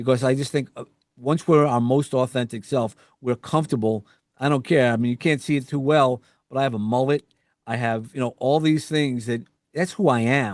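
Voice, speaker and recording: A man speaks in a New York accent with ordinary pitch variation. The sound is dry and close with no echo, over a quiet background. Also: medium pitch for a man, moderate pace. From US Northeast, New York. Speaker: podcast host and executive coach. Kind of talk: interview conversation. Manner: halting, with fillers and restarts.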